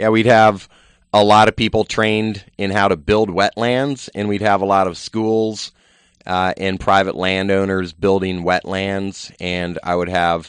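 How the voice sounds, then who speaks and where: An ordinary speaking voice from a man with an American accent, at a fairly low pitch. He talks at a fairly slow pace with fairly even intonation. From Virginia. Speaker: conservation nonprofit founder. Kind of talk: radio interview.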